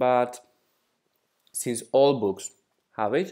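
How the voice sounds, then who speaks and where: A man speaks at a very slow pace in a Greek accent. His pitch is medium, with ordinary pitch variation. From Greece. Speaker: exam prep tutor. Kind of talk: tutorial.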